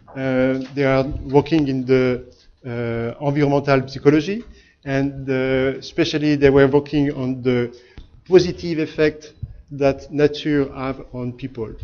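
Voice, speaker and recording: A man with a strong French accent, fairly high pitch, a dark, mellow tone, fairly even intonation and a fairly slow pace. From France. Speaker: architect and company founder. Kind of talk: seminar talk. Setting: lecture hall with audience. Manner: hesitant, many filler sounds.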